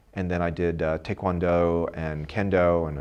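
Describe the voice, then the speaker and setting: Very deep and low in pitch, a man speaks with an American accent. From Brooklyn, New York. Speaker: professor. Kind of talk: interview. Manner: halting.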